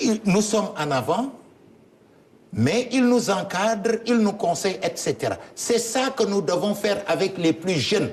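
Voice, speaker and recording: Amid noticeable background noise, a man with a high pitch speaks at a fairly slow pace, his loudness very even and his pitch variation ordinary. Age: 70s. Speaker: politician. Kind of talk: interview.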